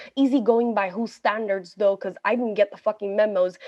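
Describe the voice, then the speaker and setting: A woman with an Ethiopian accent speaks at a medium pitch with fairly even intonation. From Ethiopia, Addis Ababa. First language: Amharic. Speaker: poet and journalist. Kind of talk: poetry performance. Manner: forceful, defiant delivery.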